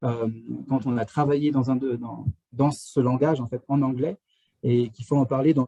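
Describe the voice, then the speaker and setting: In a dark, mellow tone, a man speaks at a medium pitch with fairly even intonation, somewhat breathy, the sound dry and close with no echo. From France. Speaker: astrophysics engineer at a polar research station. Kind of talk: live Q&A talk. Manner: halting, many fillers and restarts.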